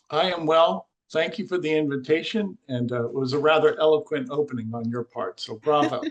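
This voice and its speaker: With an unremarkable speaking voice, a man talks at a fairly quick pace, his fairly high pitch showing ordinary variation. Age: 60s. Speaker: scalar energy researcher. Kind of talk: podcast interview.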